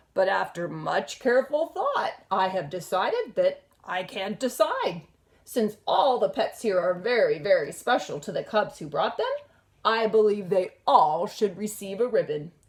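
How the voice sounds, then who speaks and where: Putting on a raspy character voice, a woman speaks at a medium pitch. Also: moderate pace. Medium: read story. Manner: warm, speechmaking.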